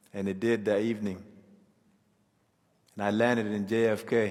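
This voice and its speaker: A man speaks at a medium pitch. His intonation stays flat and monotone. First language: a South Sudanese language. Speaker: refugee storyteller. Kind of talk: personal testimony.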